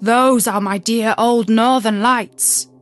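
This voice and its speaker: Delivered at a fairly slow pace, a put-on character voice plays over faint music in the background. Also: woman, fairly high pitch for a woman. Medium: read story.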